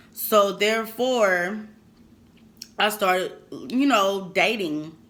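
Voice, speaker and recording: Audible room echo surrounds a woman's medium-pitched voice as she speaks at a very slow pace. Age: 20s. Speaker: YouTuber. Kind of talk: casual mukbang chat. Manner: halting.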